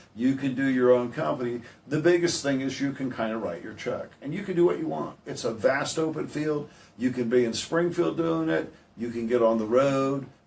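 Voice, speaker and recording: Noticeable background noise sits behind a man speaking at a moderate pace. His pitch is medium. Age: 60s. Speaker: heating and air business owner. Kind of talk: radio interview. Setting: radio studio.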